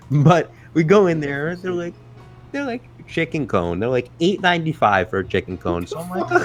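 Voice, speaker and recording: Music plays in the background as a man with an American accent talks at a moderate pace, his pitch swinging very widely. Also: fairly high pitch for a man. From New York City. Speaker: podcast co-host. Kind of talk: casual chat. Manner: animated storytelling.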